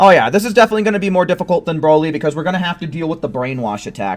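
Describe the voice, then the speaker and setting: Over background music, a man talks loudly in a high pitch. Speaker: video game streamer. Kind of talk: live gameplay commentary. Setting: live stream at home with headset.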